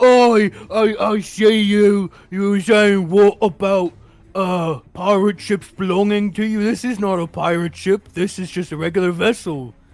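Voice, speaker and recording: This man uses a put-on character voice pitched high. He delivers it at a fairly slow pace. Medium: actual play. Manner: bashful, nervous.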